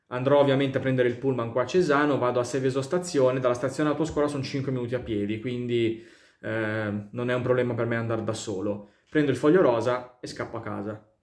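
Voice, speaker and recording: A man with a medium-pitched voice speaks at a fairly quick pace and with fairly even intonation, in a quiet background with audible room echo. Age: 20s. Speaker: YouTuber. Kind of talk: casual vlog monologue. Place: home room. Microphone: phone near.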